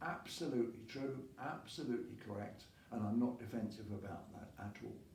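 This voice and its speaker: Noticeable background noise surrounds a man speaking at medium pitch and a moderate pace. His pitch varies in an ordinary way, and his loudness swings widely. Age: 80s+. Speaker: masters rower. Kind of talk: casual talk to camera.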